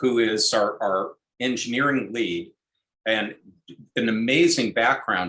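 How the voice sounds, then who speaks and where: A man speaks at a fairly slow pace with long, frequent pauses. His tone is bright and sharp, his pitch medium with ordinary variation, and his loudness very even. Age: 60s. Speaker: startup team member. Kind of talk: casual chat.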